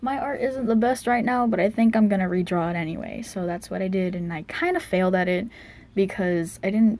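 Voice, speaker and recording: Her voice has a dark, mellow tone and is somewhat breathy. The woman keeps a fairly quick pace. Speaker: digital artist YouTuber. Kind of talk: casual voice-over commentary on speedpaint. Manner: halting, many fillers and restarts.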